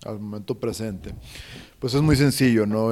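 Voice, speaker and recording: A man speaks with ordinary pitch variation. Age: 30s. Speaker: breathwork and cold exposure instructor. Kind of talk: interview. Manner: halting, many repetitions.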